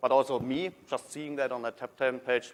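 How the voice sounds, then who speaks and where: The speaker is a man. He talks with a German accent. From Germany. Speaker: technology consultant. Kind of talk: conference talk. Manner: halting, many fillers.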